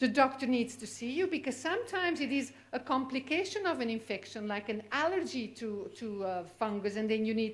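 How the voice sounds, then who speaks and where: In a Flemish accent, a woman speaks at a high pitch and fairly quick pace, with very wide pitch swings. Audible echo fills the room. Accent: Belgian (Flemish) accent in English. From Belgium. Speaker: physician, cystic fibrosis specialist. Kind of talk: lecture. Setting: conference stage with audience.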